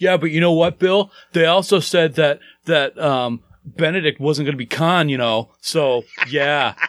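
A man puts on a whiny character voice, pitched fairly high and delivered at a fairly slow pace in a whiny tone. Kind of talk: pouty voice. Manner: pouty, whiny.

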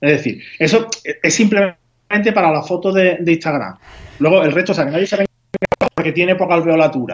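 A man's high voice at a fairly slow pace, with ordinary pitch variation and very even loudness, in a dry, close sound with no echo. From Spain, Huelva (Andalusia). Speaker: home baker. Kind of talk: tutorial.

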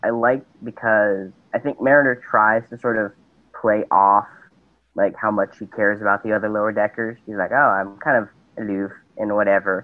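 At a moderate pace, a man with a normal speaking voice talks in a fairly low pitch with fairly even intonation. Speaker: caller. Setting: video call.

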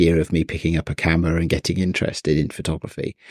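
A man with an English accent and a very deep, low pitch is heard in a dry, close sound with no echo. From England. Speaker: photography podcast co-host. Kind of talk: casual chat.

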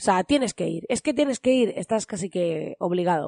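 A woman's voice swings very widely in pitch at a moderate pace, recorded dry and close with no echo against a quiet background. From Almería, southern Spain. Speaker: podcast host, online business coach. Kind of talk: casual solo podcast monologue. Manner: energetic, enthusiastic.

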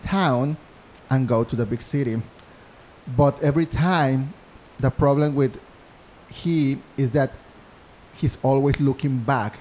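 Speaking at a fairly slow pace, a man with a Mexican accent uses a fairly high pitch and ordinary pitch variation. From Mexico, Monterrey. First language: Spanish. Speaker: musical theater composer. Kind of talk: interview. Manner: halting.

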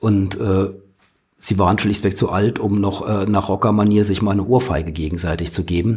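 At a moderate pace, a man speaks in a fairly low, somewhat breathy voice. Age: 60s. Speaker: journalist, former magazine editor. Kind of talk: interview. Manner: hesitant with fillers.

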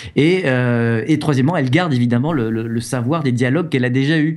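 Audible room echo surrounds a man talking very fast. His voice sits at a medium pitch with ordinary pitch variation. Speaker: video game journalist and author. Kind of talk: casual chat. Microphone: new microphone.

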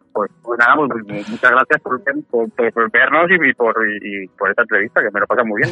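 With music in the background, a man of medium pitch talks at a moderate pace and with ordinary pitch variation. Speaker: podcaster and father. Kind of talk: casual chat.

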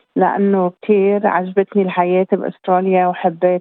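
A woman talks fairly slowly, her pitch sitting in the medium range. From Lebanon. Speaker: community services director. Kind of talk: interview.

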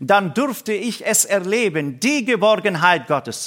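A fairly slow voice with a bright, sharp tone and very wide pitch swings. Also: man. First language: Aramaic (speaking German). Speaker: pastor and missionary. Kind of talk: sermon. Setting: church service.

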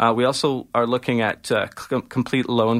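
A man with a Canadian accent speaks at a medium pitch. The recording is very clean with a silent background and a dry, close sound with no echo. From Ontario, Canada. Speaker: political candidate. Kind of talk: radio interview. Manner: halting.

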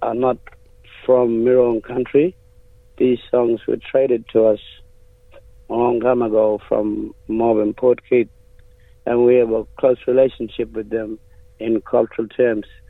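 A man's flat, monotone delivery at a fairly slow pace, with long, frequent pauses. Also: medium pitch for a man. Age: young. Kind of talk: radio interview.

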